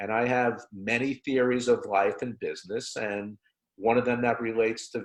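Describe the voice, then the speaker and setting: The voice is a man's, medium in pitch: a plain, everyday voice. His pace is moderate and his intonation fairly even. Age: 60s. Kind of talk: webinar discussion.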